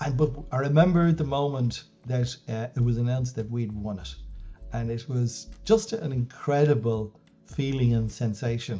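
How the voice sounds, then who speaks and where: Speaking with an Irish accent at a moderate pace, a man uses a medium-pitched voice with a dark, mellow tone. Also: ordinary pitch variation. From Ireland, West Wicklow. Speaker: business coach and former CEO. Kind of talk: interview. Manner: calm; halting.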